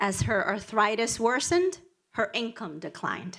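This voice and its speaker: A fairly high female voice with a Spanish accent. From Dominican Republic, raised in Washington Heights, New York City. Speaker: nonprofit executive director. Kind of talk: prepared speech.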